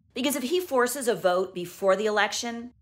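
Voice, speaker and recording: Here a woman is talking. Her speed is moderate. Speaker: news journalist. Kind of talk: news explainer to camera. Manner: calm, clear. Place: home room. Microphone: phone near.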